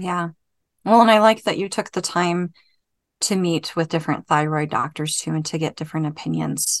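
A woman with an unremarkable speaking voice talks at a moderate pace and fairly low pitch, with ordinary pitch variation. The background is quiet and the sound dry and close, with no echo. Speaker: podcast co-host. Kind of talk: casual interview chat.

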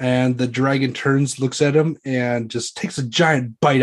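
In a natural voice, the passage is read aloud with fairly even intonation.

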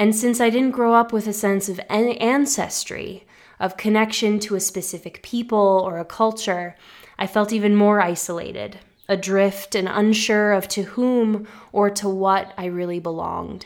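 A woman with an American accent, a normal speaking voice at medium pitch, fairly even intonation and a moderate pace, on a very clean recording with a silent background. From US, Massachusetts. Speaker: podcast host. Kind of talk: personal storytelling narration.

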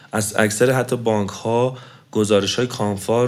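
This is a man speaking. Room echo is audible around his voice. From Iran, Tehran. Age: 30s. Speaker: engineer, marathon runner. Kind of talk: interview. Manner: halting.

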